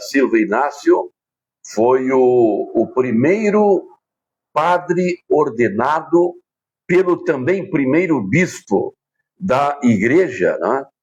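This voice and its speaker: A man talks at a very slow pace. His loudness stays very even while his intonation is lively. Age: 60s. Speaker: radio broadcaster and local historian. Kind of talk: interview.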